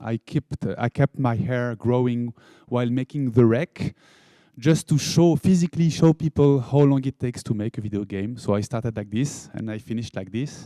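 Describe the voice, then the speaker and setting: Speaking with a French accent, a man talks at a moderate pace and medium pitch. His pitch varies in an ordinary way, and the sound is dry and close with no echo. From France. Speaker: game studio founder. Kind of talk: conference talk.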